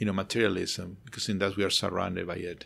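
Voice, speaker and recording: A man speaks with an American accent. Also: very clean recording, silent background. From outside the US. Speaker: architect who studies sacred spaces. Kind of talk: interview conversation. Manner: halting, many repetitions.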